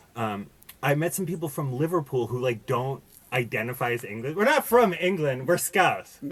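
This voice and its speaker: Over noticeable background noise, a man with an American accent speaks at a moderate pace, with a fairly high pitch and lively intonation. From US, Boston. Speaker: podcast guest. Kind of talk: casual chat. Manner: halting, many fillers and restarts.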